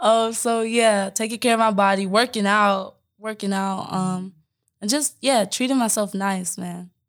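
With an American accent, a woman speaks in an ordinary speaking voice at a medium pitch. Her pace is fairly slow and her intonation fairly even. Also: very clean recording, silent background. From Omaha, Nebraska. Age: 20s. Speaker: podcast co-host, wellness entrepreneur. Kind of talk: casual chat. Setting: podcast recording.

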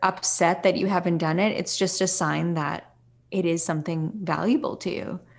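A woman speaks in a normal speaking voice at a medium pitch. Her intonation is fairly even and her pace fairly slow. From Canada. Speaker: yoga teacher. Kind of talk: interview conversation.

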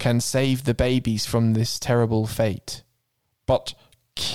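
A voice reads in a natural way. Behind it, the surroundings are quiet.

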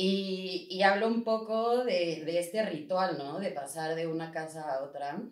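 In a plain, everyday voice, the speaker goes at a fairly slow pace with hardly any pauses and ordinary pitch variation. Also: woman, fairly low pitch for a woman. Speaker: podcast co-host. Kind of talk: casual interview conversation.

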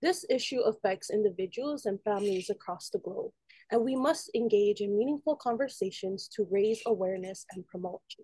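With a dry, close sound and no echo, a somewhat breathy woman speaks at a moderate pace in a fairly high pitch and a dark, mellow tone, her intonation lively and her loudness swinging widely. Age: 20s. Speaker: student podcast host. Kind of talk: interview; scripted intro.

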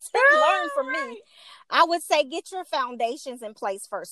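A woman with an American accent projects a raised voice in a bright, sharp tone, captured dry and close with no echo. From Chicago, West Side. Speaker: makeup artist and networking group founder. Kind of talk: casual interview chat.

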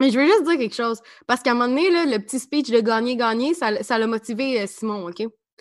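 A woman with a Quebec accent talks at a very fast pace and high pitch. Her tone is animated and her intonation lively. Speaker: podcast co-host. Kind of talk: casual chat.

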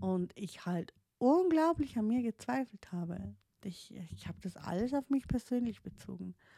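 A woman speaks at a fairly high pitch with very wide pitch swings and a moderate pace. Her tone is dark and mellow and somewhat breathy. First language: not German (speaking German). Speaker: podcaster, life coach in training. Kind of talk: personal monologue. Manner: halting, many fillers and restarts.

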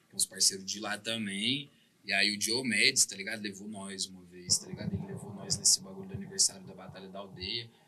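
A man at a very fast pace, with big swings in loudness and noticeable background noise. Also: fairly low pitch for a man, ordinary pitch variation. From Uberlândia, Minas Gerais, Brazil. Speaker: rapper. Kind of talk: casual interview chat.

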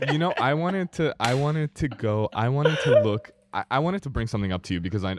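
A man talks at a fairly quick pace with lively intonation in a plain, everyday voice. The recording is dry and close with no echo, against a quiet background. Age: 20s. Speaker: podcast co-host. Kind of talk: casual chat. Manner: many fillers (um, uh).

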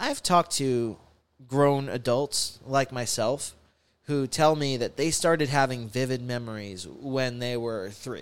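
A man speaks at a fairly slow pace, his medium pitch showing ordinary variation. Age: 20s. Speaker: podcast host. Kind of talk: casual monologue. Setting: home studio. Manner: halting, many fillers and repeats. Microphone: new studio, wearing headphones.

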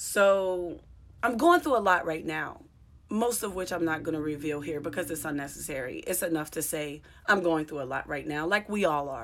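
A woman's very deep, low pitch with ordinary variation, at a fairly quick pace. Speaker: comedian and podcast host. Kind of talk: casual monologue. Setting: solo podcast recording. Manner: reflective.

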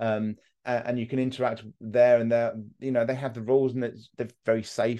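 Speaking in a southern English accent at a moderate pace, a man has a dark, mellow tone, medium pitch and monotone, flat intonation. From southern England. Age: 30s. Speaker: mental health content creator. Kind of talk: casual interview. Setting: online call. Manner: blunt.

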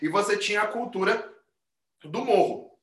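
There is audible room echo around this man's voice. He speaks high for a man, with a bright, sharp tone and a fairly slow pace. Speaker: capoeira teacher. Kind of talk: casual chat. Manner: forceful, argumentative-sounding.

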